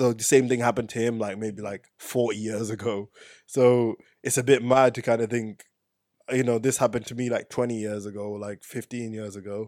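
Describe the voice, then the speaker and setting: Over a very clean recording with a silent background, a man talks fairly quickly in a flat monotone, with big swings in loudness. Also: medium pitch for a man. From Zimbabwe, raised in England from age six. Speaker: physics PhD student. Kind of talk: casual chat.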